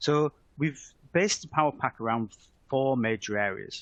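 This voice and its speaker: At a fairly quick pace, a man speaks with a British accent. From UK. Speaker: software product manager. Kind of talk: webinar presentation. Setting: online webinar. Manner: hesitant, with frequent fillers.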